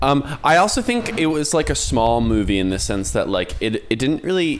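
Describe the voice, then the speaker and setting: With noticeable background noise in the recording, a man keeps to a moderate pace. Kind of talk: casual chat. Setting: video call.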